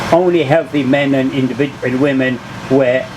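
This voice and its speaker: Fairly even in intonation, a man's fairly high voice carries over noticeable background noise. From Poland. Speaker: Holocaust survivor. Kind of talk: public talk, personal memoir.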